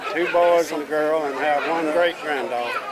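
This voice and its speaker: A man with a Southern US accent at a fairly high pitch and a very slow pace, with audible room echo and crowd noise in the background. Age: 70s. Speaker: family elder at reunion. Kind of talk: family introduction on camera.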